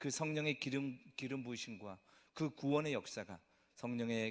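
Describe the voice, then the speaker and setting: This man talks at a moderate pace. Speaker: pastor. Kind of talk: sermon.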